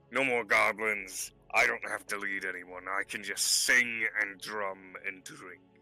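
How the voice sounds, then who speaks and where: Over music in the background, a put-on character voice moves at a fairly slow pace with hardly any pauses. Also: man, fairly low pitch for a man. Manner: broken speech, speaks of self in third person.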